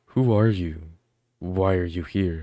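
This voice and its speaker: A man speaks in a put-on character voice, his pitch very deep and low. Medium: read story. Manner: cautious.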